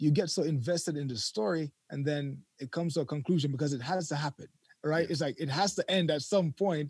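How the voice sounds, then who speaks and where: A man talks at a fairly quick pace and fairly high pitch, somewhat breathy. His pitch varies in an ordinary way, with a dry, close sound and no echo. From Jamaica. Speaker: YouTube content creator. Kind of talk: casual interview. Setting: remote call from overseas.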